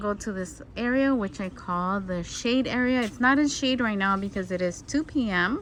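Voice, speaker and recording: A plain, everyday voice from a woman, fairly high in pitch with ordinary pitch variation, at a moderate pace with hardly any pauses. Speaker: home gardener and channel host. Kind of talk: garden tour vlog. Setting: outdoors in garden. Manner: casual with fillers.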